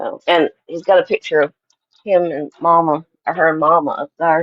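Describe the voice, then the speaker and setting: The speaker has a Tennessee accent and a moderate pace. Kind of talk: casual chat.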